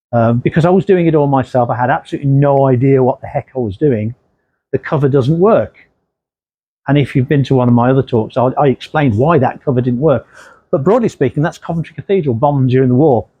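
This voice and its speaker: Very fast and very even in loudness, a man with an English Midlands accent speaks at a fairly high pitch with ordinary pitch variation. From English Midlands, Redditch, Worcestershire. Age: 60s. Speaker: crime novelist. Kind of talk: author talk. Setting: library talk with audience. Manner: casual.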